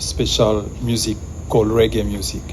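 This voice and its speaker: With a French accent, a man speaks over noticeable background noise, with audible room echo around him. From Switzerland, Valais. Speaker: music producer. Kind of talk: improvised speech. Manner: halting, many fillers.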